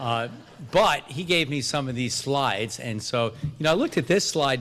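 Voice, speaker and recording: Medium pitch and ordinary pitch variation from a man with an American accent. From New York. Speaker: addiction medicine academic physician. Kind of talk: conference lecture. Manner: fast; halting, many fillers.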